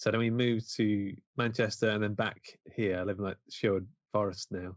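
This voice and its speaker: With an East Midlands accent, a man talks in fairly even intonation. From Mansfield, English East Midlands. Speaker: independent filmmaker. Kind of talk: casual interview chat.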